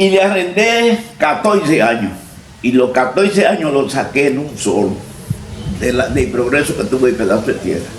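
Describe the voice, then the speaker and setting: Moderate pace and very wide pitch swings, amid noticeable background noise and audible room echo. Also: man, fairly high pitch for a man. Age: 80s+. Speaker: farmer and former local politician. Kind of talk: interview, personal life story.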